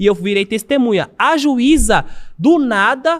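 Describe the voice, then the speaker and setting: A man is speaking. His intonation is lively. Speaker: ex-convict debating a police officer. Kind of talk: heated debate.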